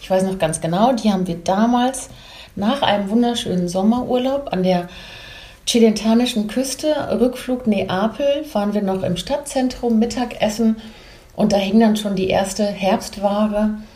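Noticeable background noise and audible room echo surround a woman whose fairly high voice moves at a moderate pace. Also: ordinary pitch variation. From Belgium / Germany. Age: 50s. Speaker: image consultant and stylist. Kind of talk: casual interview chat.

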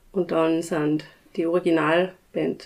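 A woman speaks in a monotone with flat intonation. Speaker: village band chairwoman, clarinetist. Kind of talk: casual interview.

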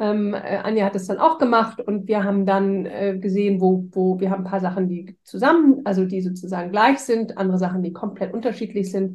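A somewhat breathy woman at a fairly quick pace. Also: medium pitch for a woman, ordinary pitch variation, hardly any pauses. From Hamburg, Germany. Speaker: strengths coach. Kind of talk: casual interview.

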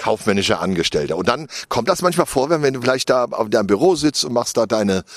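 This man talks fast, his pitch sitting at a medium level. His intonation is lively.

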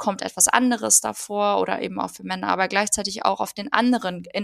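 A woman is speaking. Her pace is fairly quick. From Germany. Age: 30s. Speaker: political educator. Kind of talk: casual interview.

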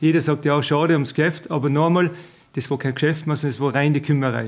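Flat and monotone in intonation, a man with a fairly high pitch speaks at a fairly quick pace. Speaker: village head. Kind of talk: interview.

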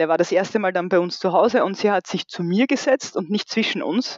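A woman speaks with an Austrian accent. Her medium-pitched voice moves at a fairly quick pace. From rural Austria, about 1.5 hours from Vienna. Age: 40s. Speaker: bereaved mother. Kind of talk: personal testimony interview. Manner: hesitant, many fillers.

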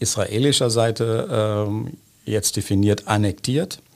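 A man speaks in a fairly low pitch. His pitch variation is ordinary. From Germany, Bonn area. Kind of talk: interview. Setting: studio.

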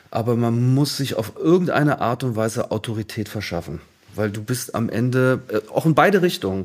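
A man with a plain, everyday voice, medium pitch, lively intonation and a moderate pace. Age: 50s. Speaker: artist manager. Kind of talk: interview.

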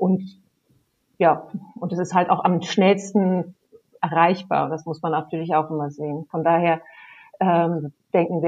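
A fairly slow pace with long, frequent pauses and fairly even intonation. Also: woman. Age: 50s. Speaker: camping industry relations manager. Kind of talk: casual chat.

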